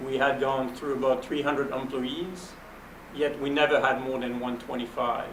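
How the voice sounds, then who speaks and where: In a French accent, a man talks in a fairly high pitch with monotone, flat intonation, with audible room echo and noticeable background noise. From Belgium. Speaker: venture capitalist. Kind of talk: panel interview.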